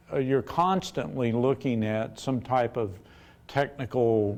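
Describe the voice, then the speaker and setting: A man at medium pitch with a dark, mellow tone, fairly even intonation and a moderate pace, quiet background. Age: 60s. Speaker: business owner and chemist. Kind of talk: talk to university audience with Q&A.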